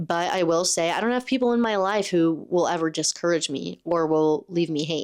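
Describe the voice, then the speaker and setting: On a very clean recording with a silent background, a woman speaks at a moderate pace in an animated tone with lively intonation. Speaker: podcast host. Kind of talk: solo motivational monologue. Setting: home recording on camera.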